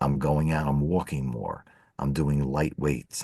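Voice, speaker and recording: The tone is dark and mellow. The background is quiet. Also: man. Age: 60s. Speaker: financial advisor, podcast co-host. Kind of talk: casual chat.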